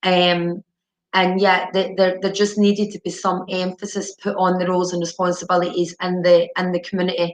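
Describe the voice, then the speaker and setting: Her medium-pitched voice stays monotone and flat, a woman speaking with little change in intonation. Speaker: addiction treatment manager. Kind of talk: webinar presentation. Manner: deliberately slow; halting, many repetitions and fillers.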